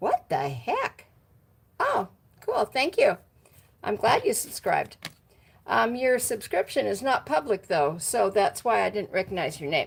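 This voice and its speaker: Against noticeable background noise, a woman with an American accent speaks at a fairly slow pace, leaving long, frequent pauses. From Washington State, US. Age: 60s. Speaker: motorcycle vlogger. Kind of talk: casual live stream chat. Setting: garage. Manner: casual, halting with fillers.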